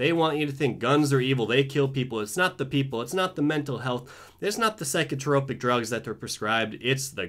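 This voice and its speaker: A man with an American accent at a moderate pace, ordinary pitch variation, quiet background. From US. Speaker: video blogger. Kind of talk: angry political rant, sarcastic and fired up. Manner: sarcastic; impassioned, emphatic. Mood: sarcastic, indignant. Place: home room. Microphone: webcam.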